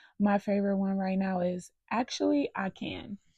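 The voice is somewhat breathy and fairly slow, recorded dry and close with no echo over a quiet background. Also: woman. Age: 30s. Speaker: podcast host. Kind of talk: casual personal monologue.

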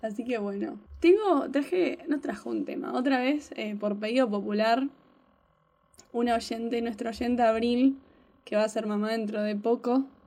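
An ordinary speaking voice moves at a fairly slow pace. Its pitch variation is ordinary. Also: woman, fairly high pitch for a woman. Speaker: podcast co-host. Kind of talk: casual chat.

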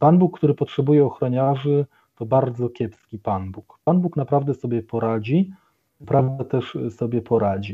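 At a moderate pace, a man of medium pitch speaks in a plain, everyday voice with ordinary pitch variation. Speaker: Capuchin friar and doctoral student. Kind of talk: radio interview. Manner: formal.

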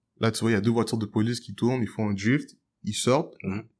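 Speaking at a very fast pace, a man with medium pitch and fairly even intonation comes through on a very clean recording with a silent background. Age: 20s. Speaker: jazz piano student and musician. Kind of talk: casual debate.

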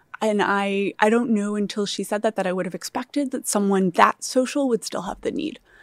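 An ordinary speaking voice from a woman at medium pitch, fairly quick with hardly any pauses and ordinary pitch variation, dry and close with no echo in a very clean recording with a silent background. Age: 30s. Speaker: startup founder. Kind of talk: interview.

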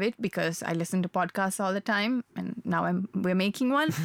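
Recorded dry and close with no echo but noticeable background noise, a woman speaks at a medium pitch and moderate pace with ordinary pitch variation. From Sri Lanka. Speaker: podcast co-host. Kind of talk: casual chat. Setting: studio.

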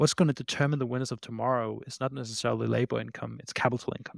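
Talking at a very fast pace, a man keeps his intonation fairly even. The recording is very clean, and the background is silent. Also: dry, close sound with no echo. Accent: Danish. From Denmark. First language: Danish. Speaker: startup CEO and founder. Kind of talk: casual interview chat.

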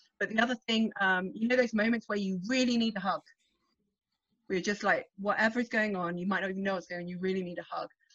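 At a very fast pace, a woman talks with ordinary pitch variation. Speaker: emotional coach. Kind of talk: coaching talk.

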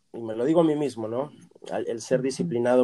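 Speaking at a very fast pace, a man's voice has a dark, mellow tone. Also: dry, close sound with no echo. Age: 40s. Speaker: voice actor. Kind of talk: interview.

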